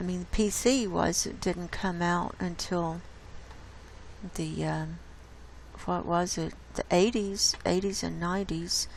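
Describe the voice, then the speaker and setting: Heard with audible room echo, a woman speaks at a fairly slow pace with long, frequent pauses. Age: 60s. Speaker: YouTube host reading a book excerpt. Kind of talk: casual commentary. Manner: halting, with many fillers.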